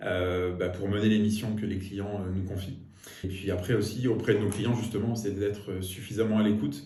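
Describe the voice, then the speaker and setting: Fairly low-pitched and somewhat breathy, a man speaks at a moderate pace with fairly even intonation. His tone is dark and mellow, and audible room echo surrounds the voice. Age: 40s. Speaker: business executive. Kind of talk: interview monologue. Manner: hesitant, with frequent fillers.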